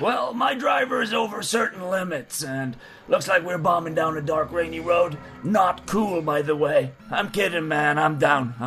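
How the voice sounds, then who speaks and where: This is a put-on character voice at a moderate pace. Background noise is clearly audible. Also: man, high pitch for a man. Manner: laid-back, cryptic.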